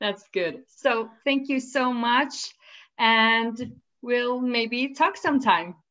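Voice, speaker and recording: A woman's high, bright and sharp voice with ordinary pitch variation, at a very slow pace. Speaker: knitting podcast host. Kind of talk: casual interview chat.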